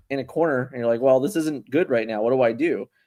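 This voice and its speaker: The speaker has a Philadelphia accent. Pitch variation is ordinary. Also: man. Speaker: card game podcast host. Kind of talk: casual chat.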